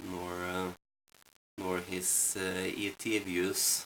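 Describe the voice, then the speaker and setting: A man mumbles in a very deep, low voice. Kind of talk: casual rambling talk to camera. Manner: mumbling; hesitant, many fillers.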